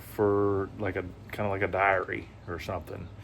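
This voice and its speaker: A man talks in a Southern US accent. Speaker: vlogger. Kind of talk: casual vlog talk. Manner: hesitant, many fillers.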